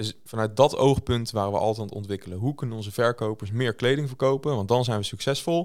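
With hardly any pauses, a man of medium pitch talks at a very fast pace with ordinary pitch variation on a very clean recording with a silent background. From South Holland, Netherlands (Moordrecht). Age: 30s. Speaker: tech entrepreneur and investor. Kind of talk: interview. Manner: hesitant, many filler sounds.

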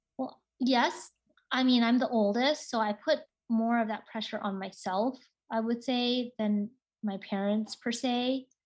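A woman with an American accent uses a plain, everyday voice. Her pitch is fairly high and her pace fairly slow. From US Pacific Northwest, Seattle. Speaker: radiation oncologist. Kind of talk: interview. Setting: video call.

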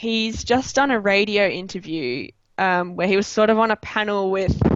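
A woman's medium-pitched voice in an Australian accent, at a very slow pace. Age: 20s. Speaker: chemistry student and club founder. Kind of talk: interview.

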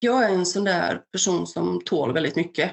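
Marked by vocal fry, the voice moves at a fairly slow pace with fairly even intonation. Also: woman. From Balkans, raised in Värmland, Sweden from age 8. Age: 30s. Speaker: mental health ambassador, war refugee. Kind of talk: personal testimony.

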